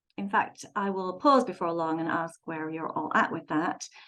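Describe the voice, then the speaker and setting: At a moderate pace, a woman talks with an English accent. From London, England. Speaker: website designer and author. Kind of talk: presentation. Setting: video call. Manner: frequent filler words.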